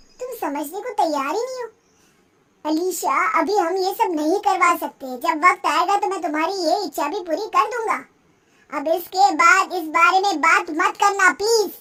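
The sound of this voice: A woman performs a cartoonish character voice at an extremely high pitch, raised and projected. Her pace is moderate.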